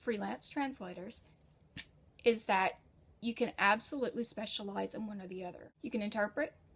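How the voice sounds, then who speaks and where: A woman speaks with an American accent. Her voice is fairly high and somewhat breathy. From United States. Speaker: freelance writer and translator. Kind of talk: tutorial. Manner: casual.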